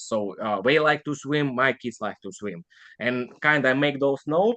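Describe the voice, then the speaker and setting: Speaking with a non-native accent, a man talks at a fairly high pitch with lively intonation. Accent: foreign. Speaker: online seller. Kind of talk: casual interview.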